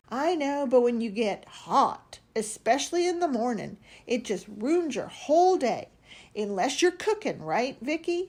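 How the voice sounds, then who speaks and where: Putting on a character voice, a woman speaks at a high pitch and a moderate pace, her pitch swinging very widely. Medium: read story.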